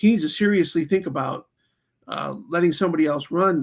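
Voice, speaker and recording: The man's voice sits high, and its pitch moves in an ordinary way. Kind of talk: political commentary talk to camera. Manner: casual, conversational with many fillers.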